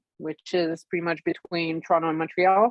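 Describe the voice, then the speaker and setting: A woman is speaking. She talks with a Quebec accent. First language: French. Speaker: fiber artist guest. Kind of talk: casual chat.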